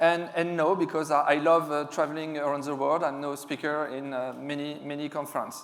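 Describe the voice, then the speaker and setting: With a French accent, a man talks at a fairly quick pace with hardly any pauses, his fairly high voice monotone and flat. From France. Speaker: security specialist, conference speaker. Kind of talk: conference talk. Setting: stage with audience. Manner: hesitant, many fillers.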